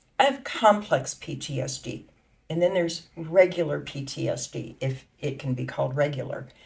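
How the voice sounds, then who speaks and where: A woman's voice with vocal fry and lively intonation. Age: 60s. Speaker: patient. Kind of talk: testimony.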